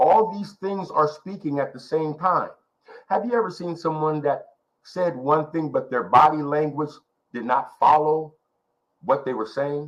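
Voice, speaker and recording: A man with a fairly high pitch and ordinary pitch variation talks at a fairly slow pace. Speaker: ministry workshop teacher. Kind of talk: leadership workshop teaching. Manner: quiet, measured delivery.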